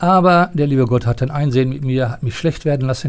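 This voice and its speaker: This man has a medium pitch and a dark, mellow tone. His voice is somewhat breathy. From East Westphalia, Germany (near Paderborn). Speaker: retired sports and art teacher, former Olympic athlete. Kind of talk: interview. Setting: theatre building.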